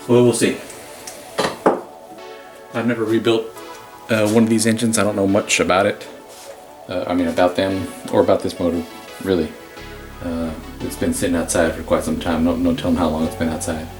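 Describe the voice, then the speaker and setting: Over music in the background, a man with a very deep, low pitch speaks at a fairly quick pace, leaving long, frequent pauses, and his pitch varies an ordinary amount. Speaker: DIY mechanic / hobbyist restorer. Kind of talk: casual talk to camera. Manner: fast.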